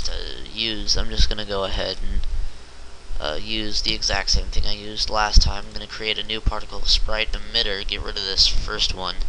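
The speaker goes at a fairly quick pace over light background noise. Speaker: game development tutorial maker. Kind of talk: screen-recorded software tutorial. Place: home room.

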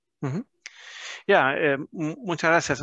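Over a quiet background, a man with a German accent speaks at a fairly high pitch in a bright, sharp tone, the sound dry with no echo. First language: German (speaking Spanish). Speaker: business chamber manager hosting webinar. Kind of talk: webinar moderation. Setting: video call. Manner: halting, many fillers. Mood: friendly, relaxed. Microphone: headset.

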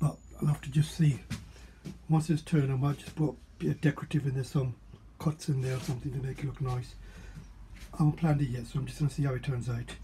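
Very fast speech comes from a man with a dark, mellow, somewhat breathy tone. His intonation is monotone and flat, over light background noise. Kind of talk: casual workshop vlog narration. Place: workshop. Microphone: phone near.

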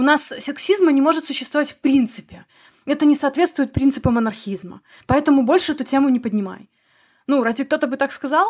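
A woman speaks at a high pitch. Her pace is fairly quick, with ordinary pitch variation. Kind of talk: podcast narration.

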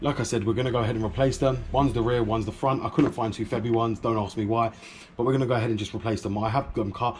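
Over light background noise, a man speaks at a very fast pace with monotone, flat intonation. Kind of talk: casual vlog chat. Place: garage. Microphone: phone near.

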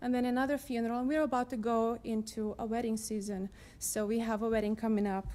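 The speaker has a non-native accent and talks at a very fast pace with fairly even intonation. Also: woman, fairly high pitch for a woman. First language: not English. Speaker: resident testifying at council meeting. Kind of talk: public testimony. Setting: city council chamber. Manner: reading from notes.

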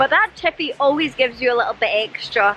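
At a fairly quick pace, a woman with a high pitch speaks in a bright, sharp tone with lively intonation over faint background noise.

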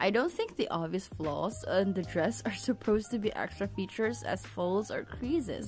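At a moderate pace, a woman speaks while music plays behind her. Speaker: figure collector reviewer. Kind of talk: product review narration.

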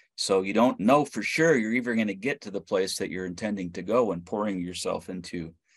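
A man at a fairly quick pace over a quiet background. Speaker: missionary; panelist. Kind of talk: panel discussion. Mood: earnest, reflective. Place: home room. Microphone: video call.

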